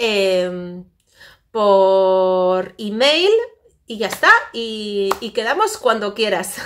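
This woman talks at a very slow pace with ordinary pitch variation. Her loudness swings widely. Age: 40s. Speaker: vlogger. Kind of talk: casual chat. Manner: halting. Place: home room. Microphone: phone near.

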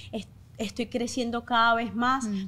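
The woman's fairly high pitch stays in a monotone, flat intonation. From Venezuela. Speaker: content creator and life insurance seller; content creator, life insurance seller. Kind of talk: interview testimony. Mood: earnest, emotional personal story. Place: studio. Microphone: studio mic.

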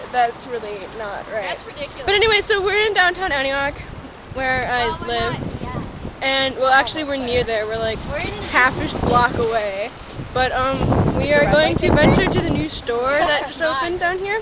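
The speech moves at a moderate pace over loud background noise, with a dry sound and no echo. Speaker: vlogger. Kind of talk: casual vlog chat. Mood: silly, laughing. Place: street. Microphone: phone near.

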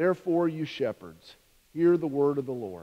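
Here a man talks with ordinary pitch variation. He keeps a moderate pace. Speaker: minister. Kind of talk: scripture reading in a sermon. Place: church. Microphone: podium.

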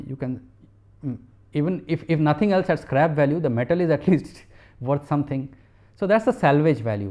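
Lively in intonation, a man talks at a fairly quick pace. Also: quiet background. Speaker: university professor. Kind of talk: lecture. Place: studio.

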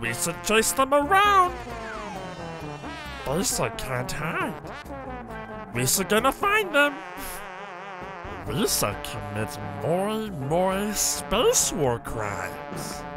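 Loud music plays behind a man using a put-on character voice. He speaks very slowly, with long, frequent pauses. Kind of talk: comic overacting of a well-known alien character. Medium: game stream. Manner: boastful, gleeful, pidgin speech.

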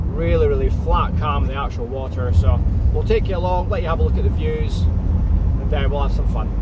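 Loud background noise surrounds speech at a moderate pace, with a dry sound and no echo. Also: man. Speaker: driver vlogger. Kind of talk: casual vlog chat. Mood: relaxed, cheerful. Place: car. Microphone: phone near.

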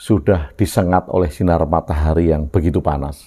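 A man's very deep, low voice, dark and mellow in tone, with fairly even intonation at a moderate pace over a quiet background. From Yogyakarta, Java, Indonesia. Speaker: video blogger sharing reflections. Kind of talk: reflective monologue. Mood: calm, thoughtful. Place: home room. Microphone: lapel.

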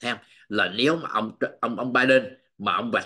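Bright and sharp in tone, the voice keeps a moderate pace and ordinary pitch variation over a quiet background. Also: man. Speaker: political news commentator. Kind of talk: news commentary monologue. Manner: halting, with frequent fillers. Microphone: webcam.

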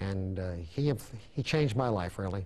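A man talks with an American accent at a fairly low pitch. His voice is somewhat breathy. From Brooklyn, New York. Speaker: endodontist and dental professor. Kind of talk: interview. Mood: reflective, reminiscing. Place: studio.

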